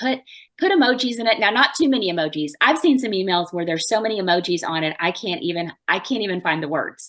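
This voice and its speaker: Against a quiet background, a woman with a Southern US accent talks at a fairly quick pace in a medium pitch, her tone animated and her intonation lively. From US South. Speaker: marketing expert. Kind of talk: podcast interview. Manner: fast.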